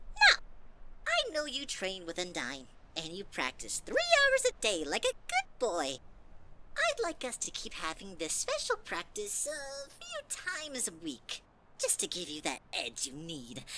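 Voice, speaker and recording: Over loud background noise, a female-sounding put-on character voice speaks at a high pitch and a moderate pace. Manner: crooning, falsely sweet.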